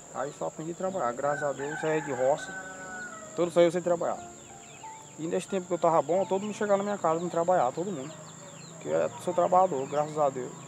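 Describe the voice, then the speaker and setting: A man's high-pitched voice at a very fast pace with long, frequent pauses and ordinary pitch variation, music in the background. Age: 30s. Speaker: farm laborer. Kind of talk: interview.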